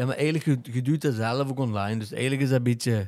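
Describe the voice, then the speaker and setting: In a plain, everyday voice with fairly even intonation, the speech comes through on a very clean recording with a silent background. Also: man. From Belgium, Limburg (Genk). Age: 30s. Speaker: theatre maker and Instagram influencer. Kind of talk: casual chat.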